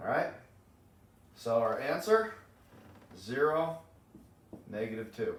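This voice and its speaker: A man speaks at a fairly slow pace in a fairly high, somewhat breathy voice with very wide pitch swings and long, frequent pauses, and audible room echo surrounds him. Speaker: math teacher. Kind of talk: lecture. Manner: animated.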